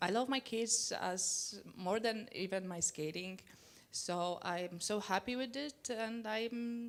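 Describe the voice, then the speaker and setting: A woman with a Polish accent, fairly high in pitch, at a very slow pace with music in the background. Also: ordinary pitch variation. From Poland. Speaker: Olympic speed skater. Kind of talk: panel discussion. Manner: halting.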